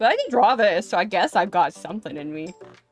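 Against faint music in the background, the speaker moves at a moderate pace with very wide pitch swings in a dry sound with no echo. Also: woman. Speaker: gamer and artist. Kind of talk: casual gameplay stream talk.

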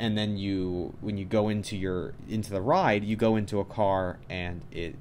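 Over light background noise, a man with a very deep, low pitch speaks with ordinary pitch variation. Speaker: vlogger. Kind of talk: casual vlog chat. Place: home room.

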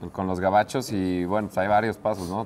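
An unremarkable speaking voice from a man, fairly low in pitch, at a fairly quick pace with fairly even intonation and light background noise. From Mexico City. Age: 20s. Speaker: racing driver; guest. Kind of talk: casual interview. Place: studio. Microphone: lapel.

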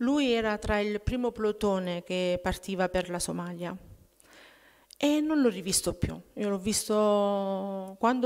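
A woman's voice at a fairly slow pace, with ordinary pitch variation against a quiet background. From Abruzzo, Italy (childhood partly in Germany). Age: 40s. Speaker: testimony giver at prayer group. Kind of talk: testimony. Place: church. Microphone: podium.

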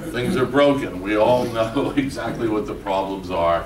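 Audible room echo surrounds a man speaking at a moderate pace, his pitch fairly low with ordinary variation.

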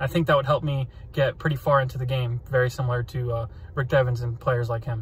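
A man with an American accent talks at a very fast pace, somewhat breathy. His intonation is fairly even, and the sound is dry with no echo. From Central Florida, USA. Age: 20s. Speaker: flight instructor. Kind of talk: casting video talk to camera. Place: car. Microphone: phone near.

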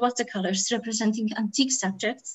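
The background stays quiet. A woman talks at a moderate pace, and her pitch varies in an ordinary way. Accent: Polish. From Poland. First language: Polish. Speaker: art historian; panelist. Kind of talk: lecture. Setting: video call. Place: home room. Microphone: webcam.

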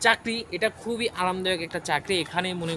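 Over noticeable background noise, a raised, projected voice carries fairly even intonation. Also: man. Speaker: job information video creator. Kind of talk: informational vlog.

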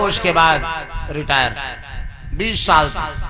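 A man's raised, projected voice at a fairly slow pace, with fairly even intonation, over noticeable background noise. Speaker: religious storyteller. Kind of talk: devotional story narration. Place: open country. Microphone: handheld.

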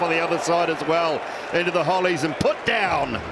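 A man with a high pitch speaks in an energetic tone over noticeable background noise. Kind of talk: sports commentary. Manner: energetic, rapid-fire.

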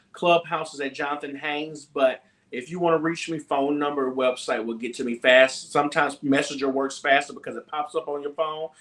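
Hardly pausing at all, a man talks at a fairly quick pace with a fairly high pitch and fairly even intonation. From Mississippi, US South (Gulfport). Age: 20s. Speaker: gospel singer. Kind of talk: casual chat. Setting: video call.

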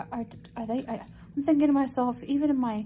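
A woman speaks with a dark, mellow tone and lively intonation. Light background noise sits behind her. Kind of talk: casual vlog chat. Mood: upset, indignant storytelling. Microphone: phone near.

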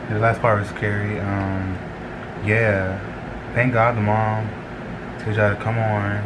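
Someone talks at a fairly slow pace against noticeable background noise. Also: man. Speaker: reaction video creator. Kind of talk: casual vlog chat. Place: home room. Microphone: webcam.

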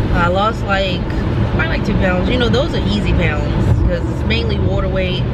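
Over loud background noise, the voice comes at a moderate pace in dry sound with no echo. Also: woman. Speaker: vlogger. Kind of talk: casual vlog chat. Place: car. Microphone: phone near.

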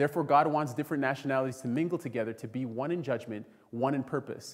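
Speaking at a very fast pace, a man uses a fairly high pitch with ordinary pitch variation. The background is quiet. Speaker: preacher. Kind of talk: sermon. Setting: church. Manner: animated, call-and-response, urgent preaching that invites the congregation to say amen. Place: church. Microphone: podium.

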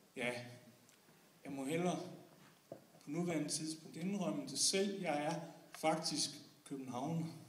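Amid audible room echo and light background noise, the speech moves at a very slow pace with long, frequent pauses. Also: man, fairly high pitch for a man, fairly even intonation. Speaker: slam poet. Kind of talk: slam poem, performed spoken word with comic satire on Copenhagen versus the provinces. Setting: stage with audience. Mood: ironic, humorous. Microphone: camera far.

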